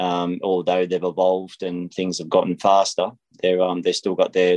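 A man with an Australian accent, dry, close sound with no echo, and a quiet background. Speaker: racing driver. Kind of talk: interview. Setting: phone call. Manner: halting with fillers.

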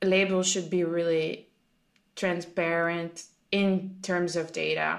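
With a French accent, a woman speaks at a very slow pace and a medium pitch in a very clean recording with a silent background. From France. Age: 20s. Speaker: food sustainability specialist. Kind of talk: casual podcast conversation.

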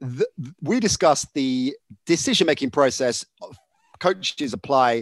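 Plain reading aloud plays over a quiet background.

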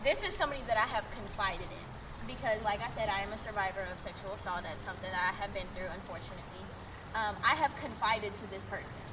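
A woman with an American accent talks at a very fast pace and a fairly high pitch, with ordinary pitch variation, big swings in loudness and noticeable background noise. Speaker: podcast co-host. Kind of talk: casual chat.

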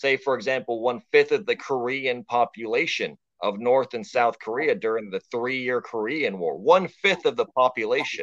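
A man with an American accent and a plain, everyday voice speaks at a moderate pace with a medium pitch, lively intonation and hardly any pauses. The sound is dry and close, with no echo. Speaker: podcast guest. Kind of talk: casual chat. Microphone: bad connection, robotic sound early on.

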